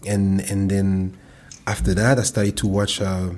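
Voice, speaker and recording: A man speaks with a French accent at a moderate pace. His voice is somewhat breathy. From France. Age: 30s. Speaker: professional football player. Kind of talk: casual chat.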